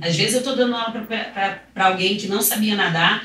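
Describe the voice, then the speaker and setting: A woman talks at a fairly quick pace. Noticeable background noise and audible room echo surround her voice. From Rio de Janeiro, Brazil. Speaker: swimming teacher. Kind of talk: podcast interview.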